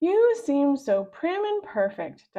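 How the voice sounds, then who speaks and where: A woman uses a put-on character voice, pitched extremely high and swinging very widely up and down. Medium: read story. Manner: prying, insinuating.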